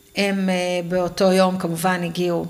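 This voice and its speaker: Here a woman speaks at a fairly slow pace with a fairly low pitch. Audible room echo surrounds her voice. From Israel, western Negev kibbutz. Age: 40s. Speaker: kibbutz-born mother of four. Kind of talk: interview testimony. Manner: halting.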